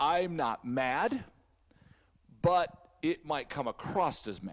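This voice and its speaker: A man speaks very slowly and loudly at a fairly high pitch. His tone is intense, with very wide pitch swings. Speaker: church staff member. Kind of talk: casual chat. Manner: loud, intense; animated.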